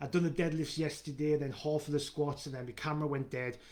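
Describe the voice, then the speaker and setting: This man speaks with a Geordie accent. His pace is fairly quick and his intonation fairly even. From northern England, Newcastle. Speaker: fitness coach. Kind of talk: live video Q&A. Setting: live stream. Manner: fast; halting with fillers and repeats.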